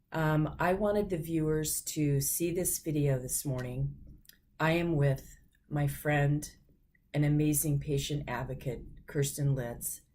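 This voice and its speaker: A woman with a very deep, low voice speaks at a fairly slow pace, her tone dark and mellow. Her intonation stays fairly even, and audible room echo surrounds her. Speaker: patient advocate. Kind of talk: casual chat.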